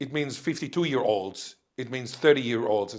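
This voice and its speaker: A man with an Israeli accent and lively intonation, on a very clean recording with a silent background. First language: Hebrew (Israeli). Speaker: linguistics professor. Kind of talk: interview conversation.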